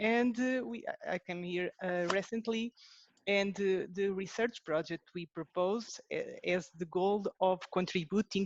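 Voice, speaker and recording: With a Portuguese accent, a woman speaks at medium pitch with ordinary pitch variation. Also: dry, close sound with no echo. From Portugal. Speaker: researcher. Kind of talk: webinar presentation. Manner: halting.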